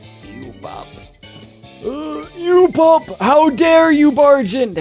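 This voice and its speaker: In a put-on character voice, a creaky, high-pitched speaker talks at a very slow pace as faint music plays in the background. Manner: scolding, indignant.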